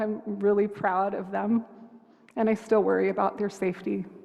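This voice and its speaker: Moderate pace against noticeable background noise. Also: woman. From United States. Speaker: hospice chaplain. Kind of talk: sermon. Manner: gentle, open-hearted.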